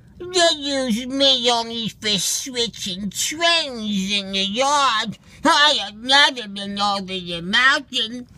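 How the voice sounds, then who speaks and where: A put-on character voice with a fairly high pitch moves at a very slow pace, with hardly any pauses. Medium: read story. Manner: kind, earnest.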